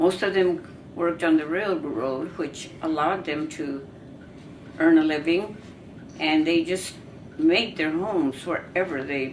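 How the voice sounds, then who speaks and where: Against noticeable background noise and audible room echo, a woman with an American accent speaks at a fairly slow pace with long, frequent pauses, her fairly low pitch showing ordinary variation. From US West, California Central Valley. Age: 90s. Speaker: family elder telling her life story. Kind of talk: oral history. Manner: halting.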